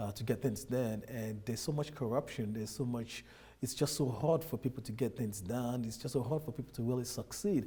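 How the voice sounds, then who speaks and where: Speaking with a Nigerian accent at a fairly quick pace, a man has a dark, mellow, somewhat breathy tone at medium pitch with ordinary pitch variation. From Nigeria, Lagos. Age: 30s. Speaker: immigrant businessman. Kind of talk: interview.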